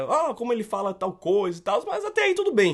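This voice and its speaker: A man with a northeastern Brazilian accent speaks at a moderate pace. His high voice swings very widely in pitch. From Brazilian Northeast. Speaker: comics YouTuber. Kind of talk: testimony.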